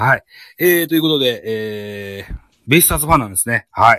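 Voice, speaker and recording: The sound is dry and close, without any echo. A man talks, his pitch varying in an ordinary way. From Japan, Shimane (Matsue). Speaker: podcast host. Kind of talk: casual chat. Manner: hesitant, many fillers.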